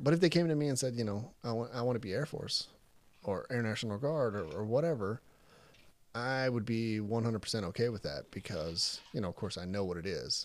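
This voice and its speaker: In an American accent, a man with an ordinary speaking voice speaks at a moderate pace in a medium pitch with lively intonation, on a very clean recording with a silent background. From Texas (Crandall, near Dallas). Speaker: military recruiter. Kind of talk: casual chat.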